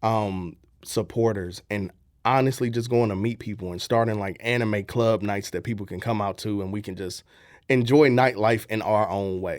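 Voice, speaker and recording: A man with a St. Louis accent speaks at a moderate pace in a fairly low pitch with fairly even intonation. The recording is very clean, with a silent background. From US Midwest, St. Louis, Missouri. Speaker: content creator and voice-over artist. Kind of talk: radio interview. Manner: casual, hesitant with fillers.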